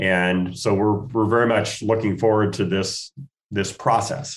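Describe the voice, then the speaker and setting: This man has a normal speaking voice with an American accent, a fairly low pitch and fairly even intonation. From US Northwest, Spokane, Washington. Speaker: golf tournament foundation chairman. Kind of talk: radio interview.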